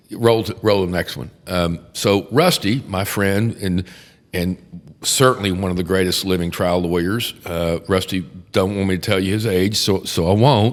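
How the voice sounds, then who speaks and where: With a Texan accent, a man speaks in a very deep, low pitch at a moderate pace, with ordinary pitch variation. The recording is very clean, with a silent background. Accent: Texan American. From Texas, Houston. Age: 60s. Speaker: criminal defense attorney. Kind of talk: casual chat. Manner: animated.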